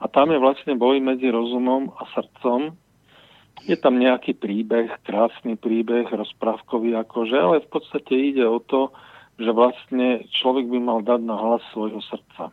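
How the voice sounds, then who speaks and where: A man talks very slowly, his medium pitch holding fairly even intonation. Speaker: radio caller. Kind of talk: phone-in call. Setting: phone call.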